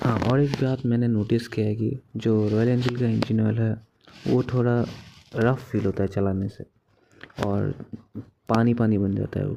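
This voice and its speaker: A man speaks at a medium pitch in a dark, mellow tone with monotone, flat intonation. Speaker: motorcycle vlogger. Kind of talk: bike review vlog while riding. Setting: outdoors riding a motorcycle.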